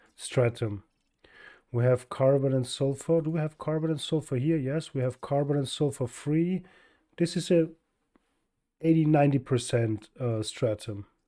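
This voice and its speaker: On a very clean recording with a silent background, a man with a German accent and a dark, mellow tone speaks at a moderate pace in a fairly high pitch, with ordinary pitch variation and long, frequent pauses. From Austria. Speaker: video game streamer. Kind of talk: live gameplay stream chat.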